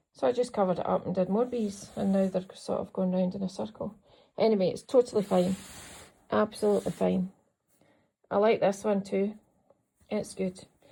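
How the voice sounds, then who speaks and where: A woman with a Scottish accent speaks at a fairly quick pace, with long, frequent pauses and fairly even intonation. Her medium-pitched voice is dark, mellow and somewhat breathy. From Scotland. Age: 50s. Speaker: quilter and vlogger. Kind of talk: casual vlog, show-and-tell of crafts. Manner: chatty.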